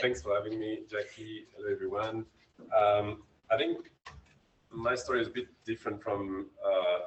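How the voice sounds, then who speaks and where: Here a man talks with a French accent. His pace is moderate. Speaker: whistleblower and anonymous reporting tools expert. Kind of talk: conference panel talk.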